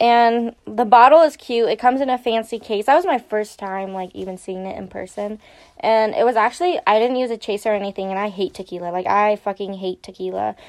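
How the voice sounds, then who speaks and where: A woman's ordinary speaking voice, fairly high in pitch with ordinary pitch variation, at a fairly quick pace with hardly any pauses and big swings in loudness. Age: 20s. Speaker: college student podcaster. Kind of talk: casual chat.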